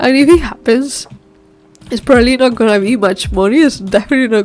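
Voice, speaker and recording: A non-native accent with ordinary pitch variation, over music in the background. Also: woman. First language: not English. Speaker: solo indie game developer, streamer. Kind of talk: casual live stream chat while working. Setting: live stream. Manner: hesitant, many fillers and restarts.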